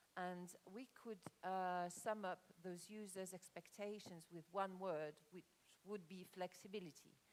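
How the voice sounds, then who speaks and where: A woman speaks at a fairly slow pace with a slight French accent. Her pitch is medium and her intonation fairly even. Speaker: conference speaker on corporate real estate. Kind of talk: conference presentation. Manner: halting, many fillers.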